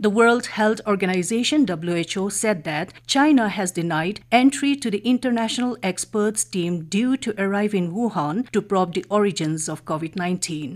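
A woman speaks at a moderate pace with an Indian accent and ordinary pitch variation. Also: quiet background. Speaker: radio newsreader. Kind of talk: news reading. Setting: studio. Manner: formal. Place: studio.

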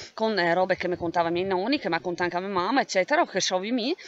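Lively intonation marks a woman's voice, heard with a dry sound with no echo. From Val di Sole, Trentino, Italy. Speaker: writer. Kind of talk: casual talk to camera presenting own book. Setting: outdoors, windy. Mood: calm, reflective. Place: open country. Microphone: phone near.

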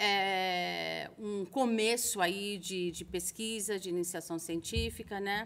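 A woman talks at a very slow pace with hardly any pauses. Her intonation is fairly even. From Brazil, Santos (São Paulo state). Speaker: school international admissions coordinator, interviewer. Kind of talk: interview videocast. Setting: studio. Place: stage. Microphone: studio mic.

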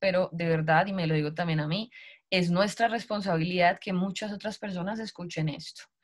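Against a quiet background, a woman with a fairly low, somewhat breathy voice speaks at a moderate pace with ordinary pitch variation. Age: 30s. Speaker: network marketing recruiter; sales team leader presenting. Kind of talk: sales pitch. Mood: warm, motivational. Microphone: video call.

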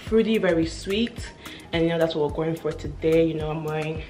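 Faint music plays in the background. Over it, a woman speaks in a fairly low voice. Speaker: style vlogger. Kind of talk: casual haul review chat. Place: home room. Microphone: camera far.

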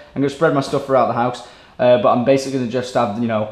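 The voice belongs to a man. The room adds audible echo. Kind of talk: casual vlog chat. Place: home room. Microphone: camera far.

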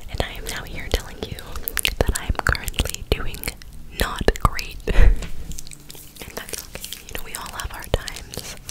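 A woman whispers softly at a moderate pace, leaving long, frequent pauses. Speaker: ASMR creator. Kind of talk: soft ASMR chat to viewers. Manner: soft close-mic whisper. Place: home room. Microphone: studio mic.

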